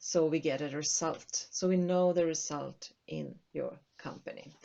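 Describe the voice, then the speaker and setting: The speech moves at a fairly slow pace. It comes with a Swedish accent. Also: woman. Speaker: accounting consultant. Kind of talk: tutorial. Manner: halting.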